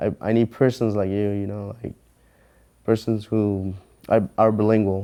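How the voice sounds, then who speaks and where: A man with a Mexican accent, fairly low in pitch and dark, mellow in tone, with monotone, flat intonation, a fairly slow pace, and long, frequent pauses. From Mexico. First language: Spanish. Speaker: mortgage loan officer. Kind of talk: interview answer.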